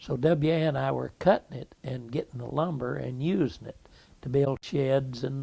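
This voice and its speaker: At a fairly slow pace, a man with a fairly high pitch and a dark, mellow tone sounds somewhat breathy, using ordinary pitch variation. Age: 70s. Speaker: oral history interviewee. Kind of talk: oral history interview. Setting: at his home. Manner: halting.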